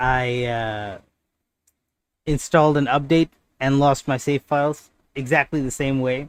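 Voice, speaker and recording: Long, frequent pauses break up a man's speech, pitched fairly high with fairly even intonation, in a very clean recording with a silent background. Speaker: gaming streamer. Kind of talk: live stream gameplay chat. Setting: live stream. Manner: loud; casual, halting with fillers.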